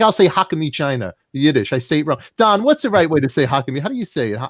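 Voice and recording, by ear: A man with a Brooklyn accent talks at a very fast pace, his fairly high pitch making very wide swings. The recording is very clean, with a silent background and a dry, close sound with no echo. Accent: Brooklyn New York.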